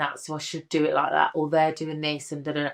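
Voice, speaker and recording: A woman with a Birmingham accent and a very deep, low pitch, over a quiet background. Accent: Brummie. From Birmingham, English Midlands. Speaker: drag king and comedian. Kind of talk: interview chat. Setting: studio sofa. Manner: animated.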